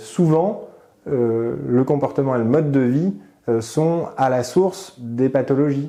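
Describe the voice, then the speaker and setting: Over noticeable background noise, a man of medium pitch talks at a very slow pace, with ordinary pitch variation and very even loudness. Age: 30s. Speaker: internist doctor. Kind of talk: interview answer. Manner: hesitant, calm.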